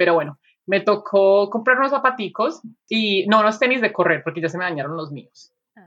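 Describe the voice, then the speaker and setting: A woman at medium pitch, fairly quick, with lively intonation and big swings in loudness. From Colombia, Medellín. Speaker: podcast co-host. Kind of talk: casual chat.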